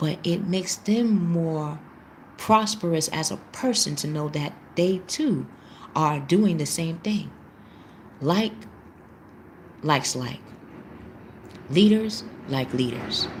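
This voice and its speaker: Soft-spoken and somewhat breathy, a woman with a fairly low pitch talks at a very slow pace, leaving long, frequent pauses. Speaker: tarot reader. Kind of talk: live tarot reading class. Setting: live stream.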